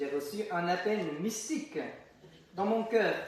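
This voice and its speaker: A man with a Vietnamese accent and a high pitch, amid noticeable background noise and audible room echo. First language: Vietnamese (speaking French). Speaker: deacon. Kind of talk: testimony. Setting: chapel. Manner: halting.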